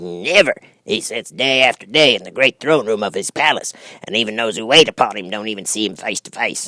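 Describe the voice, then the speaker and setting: A man uses a put-on character voice at a medium pitch with lively intonation. He talks at a fairly quick pace in a dry, close sound with no echo. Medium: read story. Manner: folksy, chatty, thoughtful.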